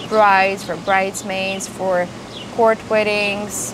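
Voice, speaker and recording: A woman talks at a fairly slow pace with a medium pitch and fairly even intonation. Audible room echo and noticeable background noise surround her. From Moldova. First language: Romanian. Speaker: florist vlogger. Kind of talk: casual vlog talk to camera. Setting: outdoors on home patio.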